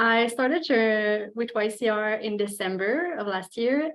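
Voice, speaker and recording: A woman is speaking. She has a French Canadian accent. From Quebec. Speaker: graduate student. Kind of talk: presentation. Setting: video call.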